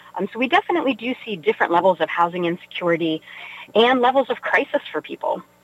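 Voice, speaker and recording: Noticeable background noise accompanies a woman with an American accent who talks very fast with very wide pitch swings. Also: fairly high pitch for a woman. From West Virginia (Weirton). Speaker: nonprofit chief executive. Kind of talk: radio interview.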